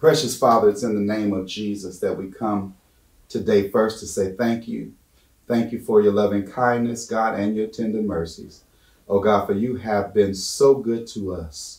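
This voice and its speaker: A man's fairly low voice at a moderate pace, with audible room echo and a quiet background. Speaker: guest Bible study teacher. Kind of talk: prayer. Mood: fervent, earnest. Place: church.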